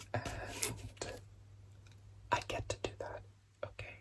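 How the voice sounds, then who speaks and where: Through noticeable background noise, a man is whispering. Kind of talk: ASMR lego building and rambling. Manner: whispered, soft-spoken.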